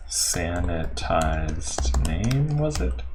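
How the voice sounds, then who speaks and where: Very slow speech with lively intonation. Audible room echo and noticeable background noise are present. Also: man. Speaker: software developer streaming live coding. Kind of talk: live coding stream tutorial. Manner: hesitant, many fillers.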